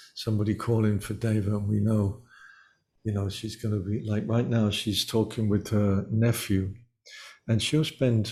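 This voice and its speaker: A man speaks at a moderate pace with fairly even intonation and a fairly low pitch. His tone is dark and mellow, somewhat breathy, on a very clean recording with a silent background. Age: 70s. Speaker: musician. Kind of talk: interview.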